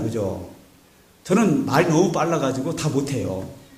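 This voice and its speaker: A man is speaking amid noticeable background noise. His voice carries an audible room echo. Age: 50s. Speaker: pastor. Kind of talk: sermon. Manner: animated.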